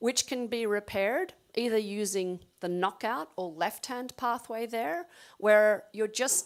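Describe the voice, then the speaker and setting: A voice with an Australian accent, captured in a very clean recording against a silent background. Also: woman. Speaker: animal geneticist. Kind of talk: lecture.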